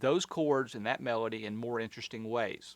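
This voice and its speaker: On a very clean recording with a silent background, a man talks at a moderate pace. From US South. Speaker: concert pianist and piano teacher. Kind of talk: tutorial. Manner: casual, with frequent fillers.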